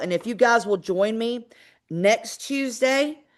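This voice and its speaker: A woman with a Georgia accent against a quiet background. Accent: Southern US accent (Georgia). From US South, Georgia. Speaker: real estate investor and trainer. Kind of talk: webinar training. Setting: live online webinar.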